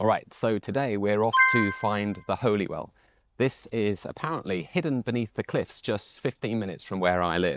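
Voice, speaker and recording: Here a man with a British accent speaks in a relaxed tone with lively intonation. His pitch is fairly low. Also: moderate pace. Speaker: English teacher. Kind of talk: casual walk-and-talk vlog narration. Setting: outdoors. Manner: natural, relaxed, unscripted.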